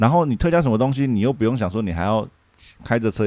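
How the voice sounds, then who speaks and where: A man with a dark, mellow tone and fairly low pitch rattles along at a very fast pace with lively intonation. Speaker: former working holiday traveler. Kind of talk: casual chat.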